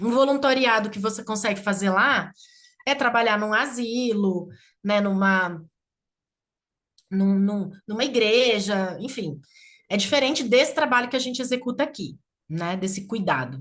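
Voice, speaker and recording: A woman speaks in a São Paulo interior accent at a fairly high pitch with lively intonation. Her pace is fairly slow, with long, frequent pauses. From interior of São Paulo state (Campinas region). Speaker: community leader. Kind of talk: casual chat.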